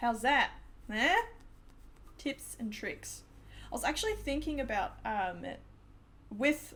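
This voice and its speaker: With an Australian accent, a woman speaks at a very slow pace. She leaves long, frequent pauses. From Australia, New South Wales. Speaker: game developer streamer. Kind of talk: live stream chat. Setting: at home computer, live stream. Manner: animated.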